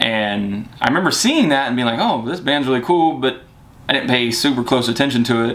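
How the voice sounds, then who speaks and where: A man is heard with audible room echo. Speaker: vlogger. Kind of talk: casual chat.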